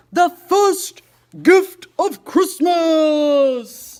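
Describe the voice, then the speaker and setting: In a put-on character voice, the speaker pitches things extremely high. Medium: read story. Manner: hearty, warm.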